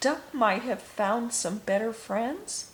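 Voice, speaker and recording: Soft-spoken and fairly high-pitched, a woman uses a put-on character voice at a very slow pace against clear background noise. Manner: sad.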